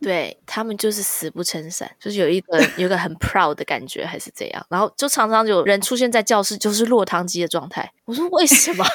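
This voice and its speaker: Fairly quick and with hardly any pauses, a woman of medium pitch speaks with lively intonation in a dry, close sound with no echo. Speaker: podcast host and amateur comedian. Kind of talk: casual chat.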